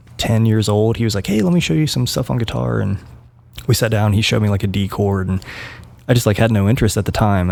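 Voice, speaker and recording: The speaker talks at a very fast pace in an American accent. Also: man. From West Virginia. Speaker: band musician. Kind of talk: casual chat. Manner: halting.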